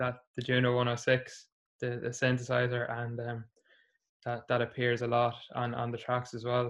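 A man with a Meath Irish accent, moderate pace, and monotone, flat intonation. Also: medium pitch for a man. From Ireland, Navan (County Meath). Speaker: musician and primary school teacher. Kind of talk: casual interview.

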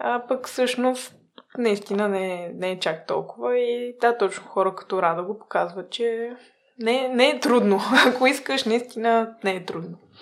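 Her fairly high voice moves at a fairly slow pace as the woman uses ordinary pitch variation. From small town in Bulgaria. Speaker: food-waste startup co-founder. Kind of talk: interview. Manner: hesitant, many filler sounds.

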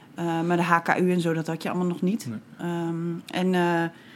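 At a moderate pace, a woman with an ordinary speaking voice talks at a fairly low pitch. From Groningen province, Netherlands (Bedum). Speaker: poet and writer. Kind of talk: casual interview.

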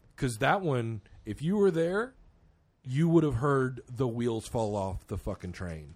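A man at a medium pitch with very wide pitch swings and a fairly slow pace, on a very clean recording with a silent background. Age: 30s. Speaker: podcast host and metal musician. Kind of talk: casual chat.

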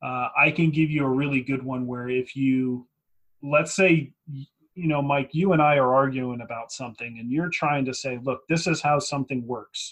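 Moderate pace and fairly even intonation in a plain, everyday voice. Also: man, fairly high pitch for a man. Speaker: podcast host. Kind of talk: casual podcast chat about tabletop wargaming strategy.

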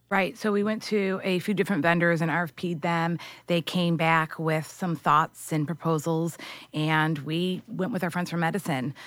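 A woman with an American accent, a fairly low pitch, fairly even intonation and a moderate pace, in a very clean recording with a silent background. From US Midwest, Michigan (outside Detroit). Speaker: media research and sales executive. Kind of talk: podcast interview.

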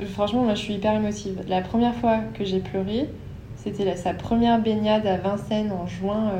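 A woman talks at a moderate pace with ordinary pitch variation. Audible echo from the room surrounds her voice. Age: 20s. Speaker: dog owner. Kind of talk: casual interview testimony.

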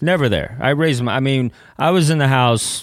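A man with a Texan accent, on a very clean recording with a silent background. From East Texas (Kilgore). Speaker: comedian and former missionary. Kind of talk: casual chat. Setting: studio.

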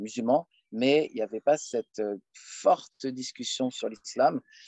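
Intonation stays fairly even throughout. The man speaks at a medium pitch. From France, Paris suburbs. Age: 30s. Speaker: lecturer on Islam. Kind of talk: casual Q&A interview. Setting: outdoors, countryside.

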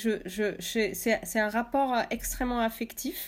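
The speaker goes at a fairly slow pace with ordinary pitch variation. The recording is very clean, with a silent background. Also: woman. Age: 30s. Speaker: artist and author. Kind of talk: interview.

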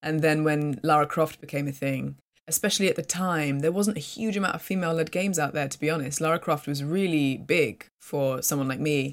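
With a British accent, a woman speaks in a very deep, low voice at a fairly quick pace, with ordinary pitch variation and hardly any pauses. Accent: British English, clear. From UK. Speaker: voice actress. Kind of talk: casual interview. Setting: video call.

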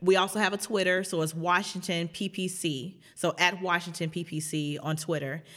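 A woman's normal speaking voice with an American accent: fairly low pitch, fairly even intonation, a fairly slow pace with hardly any pauses, on a very clean recording with a silent background. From Chicago South Side. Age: 30s. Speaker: activist pastor. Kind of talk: interview conversation.

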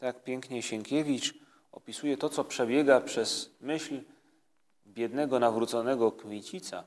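An ordinary speaking voice moves at a fairly slow pace. Its intonation stays fairly even. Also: man, medium pitch for a man. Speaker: priest leading prayer. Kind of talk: guided prayer meditation. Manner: calm, slow.

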